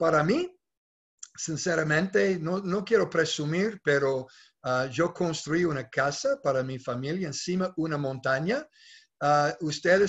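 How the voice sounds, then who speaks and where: At a fairly slow pace and with ordinary pitch variation, a man speaks over a quiet background. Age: 60s. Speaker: network marketing leader; presenter. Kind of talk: sales pitch. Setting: video call. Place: home room. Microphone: webcam.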